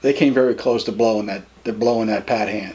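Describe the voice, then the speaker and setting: Using an American accent, the man talks at a moderate pace. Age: 50s. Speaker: interviewee. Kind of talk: interview. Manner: halting, with many repetitions.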